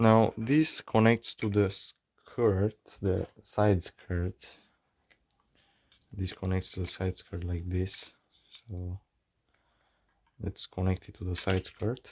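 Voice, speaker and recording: The speech comes very slowly with a non-native accent, broken by long, frequent pauses. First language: not English. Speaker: maker / hobbyist YouTuber. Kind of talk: tutorial. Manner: halting. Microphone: bad audio early in video.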